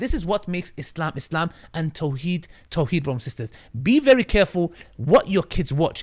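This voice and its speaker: On a very clean recording with a silent background, a man speaks in a high, animated voice with very wide pitch swings. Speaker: Islamic preacher. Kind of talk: sermon. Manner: fast.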